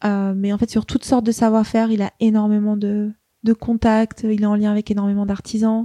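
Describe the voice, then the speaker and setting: In a dry, close recording with no echo, a woman with a fairly high pitch and a dark, mellow tone talks fairly quickly in a flat monotone. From Paris, France. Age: 30s. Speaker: fashion brand founder. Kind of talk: interview. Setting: host's home.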